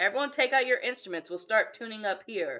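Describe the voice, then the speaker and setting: A woman in a high-pitched, put-on character voice, raised and projected, at a very fast pace. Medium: read story.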